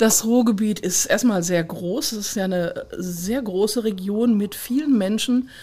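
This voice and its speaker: A dark, mellow tone comes through in a voice that is somewhat breathy. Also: woman, fairly high pitch for a woman, ordinary pitch variation, fairly slow pace, hardly any pauses. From Ruhr area, Kreis Unna. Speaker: regional director of a municipal association. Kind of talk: interview.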